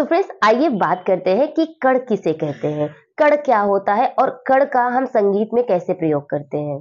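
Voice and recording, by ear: At a moderate pace, a woman with a medium pitch and slightly mellow tone speaks with big pitch swings.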